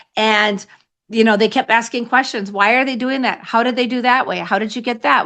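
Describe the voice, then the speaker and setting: Over a quiet background, a woman talks fairly quickly in a fairly high, bright and sharp voice with ordinary pitch variation. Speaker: sales coach. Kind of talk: podcast interview. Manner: fast; high energy.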